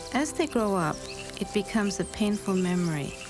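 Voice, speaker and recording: Music behind a woman's moderately paced speech. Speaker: documentary narrator. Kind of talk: documentary narration.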